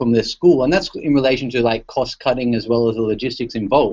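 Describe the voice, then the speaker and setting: With an Australian accent, a man is talking. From Australia, Sydney. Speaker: tech company education specialist. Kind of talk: presentation in online panel. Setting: video call. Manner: casual, many fillers and restarts.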